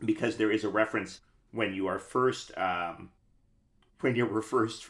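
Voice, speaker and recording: A man talks in a normal speaking voice with an American accent. His pace is moderate and his intonation fairly even. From New York City. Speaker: podcast host and actor. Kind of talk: casual interview.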